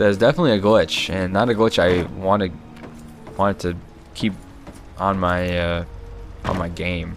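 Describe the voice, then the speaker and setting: A man's very deep, low voice at a moderate pace, fairly even in intonation, with long, frequent pauses and music in the background. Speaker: gaming commentator. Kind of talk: live gameplay commentary. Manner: stumbling over words.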